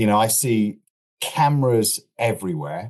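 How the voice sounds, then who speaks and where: Speaking with an East Midlands accent, a man of medium pitch and a dark, mellow tone uses lively intonation at a moderate pace. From Lincolnshire, England. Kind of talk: interview answer.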